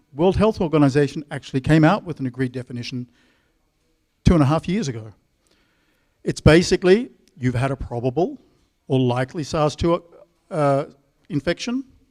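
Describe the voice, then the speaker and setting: With an Australian accent, a man speaks at a fairly high pitch with ordinary pitch variation, the sound dry and close with no echo. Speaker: epidemiologist. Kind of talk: conference talk.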